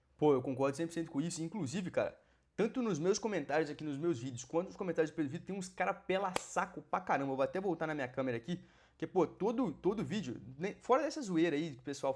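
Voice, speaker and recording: A man with a fairly high pitch, an animated tone and lively intonation. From Brazil, Minas Gerais. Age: 20s. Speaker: exam-prep mentor and YouTuber. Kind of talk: casual reaction video commentary. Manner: animated, informal with fillers.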